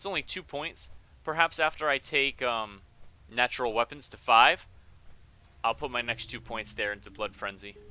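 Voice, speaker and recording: A man with a bright, sharp tone talks at a medium pitch and a moderate pace, with ordinary pitch variation. His loudness swings widely, and he takes long, frequent pauses. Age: 20s. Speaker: gaming livestreamer. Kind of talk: live gameplay stream chat. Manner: casual, hesitant with many ums.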